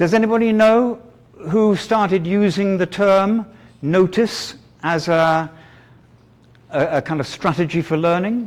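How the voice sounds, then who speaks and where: A man with a British accent speaks at a fairly slow pace, his pitch high for a man with ordinary variation. Long pauses come often. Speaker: teacher trainer. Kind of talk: lecture. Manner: halting.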